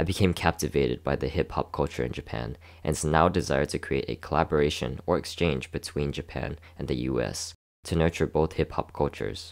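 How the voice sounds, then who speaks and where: A man with an American accent speaks in a very deep, low pitch with vocal fry and ordinary pitch variation. He moves at a fairly quick pace in a very clean recording with a silent background. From Houston, Texas. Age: 20s. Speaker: dancer and student. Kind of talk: scripted narration.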